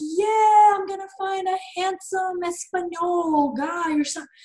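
In a put-on character voice, a woman talks at a moderate pace with an extremely high pitch. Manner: mocking.

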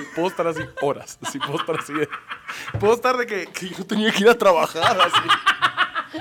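Over noticeable background noise, a man with a high voice talks at a moderate pace in an animated tone with lively intonation. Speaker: comedian. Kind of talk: casual chat.

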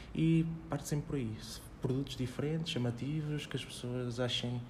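A man's medium-pitched voice at a moderate pace, fairly even in intonation, with audible room echo. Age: 20s. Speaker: personal development author and former cook. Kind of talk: casual interview chat.

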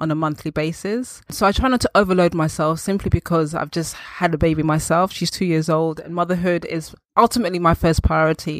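A woman speaks at a moderate pace in a London accent, her pitch fairly low and her intonation fairly even. The sound is dry and close, with no echo. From Northwest London. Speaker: birth doula. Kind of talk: interview.

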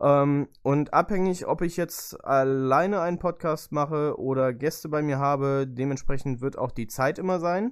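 At a fairly slow pace with hardly any pauses, a man speaks at a fairly high pitch with ordinary pitch variation on a very clean recording with a silent background. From Lower Saxony, Germany (Göttingen). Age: 20s. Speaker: podcast host and motorsport photographer. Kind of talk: casual solo podcast monologue. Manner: chatty, talkative; hesitant fillers.

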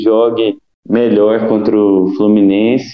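A man's medium-pitched voice proceeds at a very slow pace. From interior of Minas Gerais, Brazil. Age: 30s. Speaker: football podcast guest, fan commentator. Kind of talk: casual chat.

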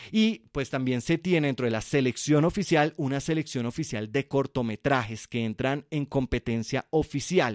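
Speaking in a Colombian accent, a man talks at a moderate pace with hardly any pauses, his voice fairly high and his tone animated. The sound is dry and close with no echo, and the recording is very clean against a silent background. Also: ordinary pitch variation. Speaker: film podcast host. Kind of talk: solo podcast monologue.

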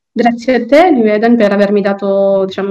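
A woman talks at a moderate pace and medium pitch with ordinary pitch variation, against noticeable background noise. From Sicily, Palermo (Tamil family). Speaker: law student and court translator. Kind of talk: interview. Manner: halting, many fillers.

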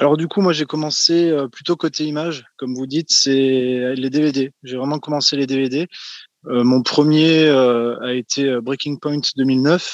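This man speaks very slowly at a fairly high pitch, and the sound is dry and close with no echo. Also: fairly even intonation. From France. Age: 20s. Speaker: wrestling collector.

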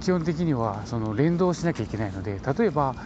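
At a moderate pace, a man speaks with lively intonation over noticeable background noise. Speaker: building code inspector podcaster. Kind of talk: casual explanatory monologue.

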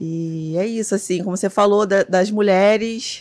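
At a moderate pace and medium pitch, a woman speaks in a very clean recording with a silent background. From Rio de Janeiro, Complexo do Alemão favela. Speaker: photographer and image archivist. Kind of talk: casual interview.

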